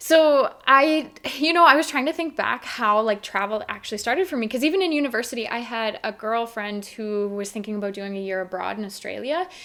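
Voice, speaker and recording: A woman with a Canadian accent talks at a fairly quick pace and a fairly high pitch. Her intonation is lively, and there is noticeable background noise. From Canada, Saskatchewan. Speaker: travel blogger. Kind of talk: casual chat.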